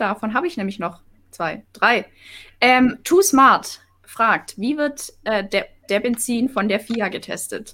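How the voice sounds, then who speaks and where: With a Swabian accent, a woman speaks in a high-pitched, bright, sharp tone with lively intonation. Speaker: live chat moderator. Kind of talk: reading viewer questions in live stream.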